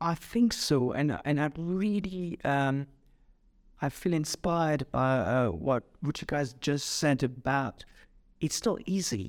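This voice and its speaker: A man with a French accent speaks at a very slow pace in a fairly high pitch with very even loudness, over a very clean, silent background. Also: lively intonation. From France. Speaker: executive coach and psychotherapist. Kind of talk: podcast interview. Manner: halting, many fillers.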